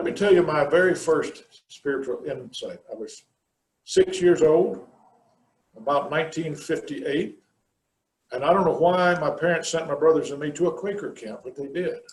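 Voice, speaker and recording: A man with an American accent talks at a moderate pace, pausing long and often, his loudness swinging widely amid audible room echo. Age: 60s. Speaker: minister. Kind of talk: sermon.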